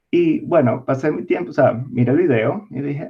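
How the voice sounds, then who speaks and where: The speaker is a man. He talks with a Venezuelan accent. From Venezuela, Caracas. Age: 20s. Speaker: distiller, biologist. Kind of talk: interview.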